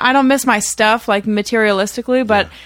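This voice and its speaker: The speaker talks in a flat monotone, captured in a very clean recording with a silent background. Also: woman. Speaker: musician in a band. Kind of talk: casual interview.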